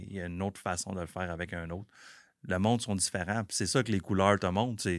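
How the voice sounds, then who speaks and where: A very deep, low male voice in a Quebec accent, fairly quick, with fairly even intonation. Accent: Québécois French. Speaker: business owner. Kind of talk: casual chat.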